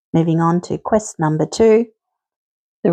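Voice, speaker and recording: A woman with an Australian accent speaks in a fairly low pitch with a dark, mellow tone. Her pitch varies in an ordinary way, and the sound is dry and close with no echo. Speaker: quiz host. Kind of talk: scripted quiz presentation.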